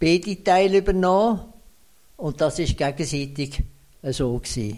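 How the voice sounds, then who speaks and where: At a fairly slow pace, a man talks with an Aargau accent. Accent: Swiss German, Aargau dialect. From Switzerland, canton Aargau. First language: Swiss German (speaking German). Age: 90s. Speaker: retired municipal finance administrator. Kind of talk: interview. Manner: halting.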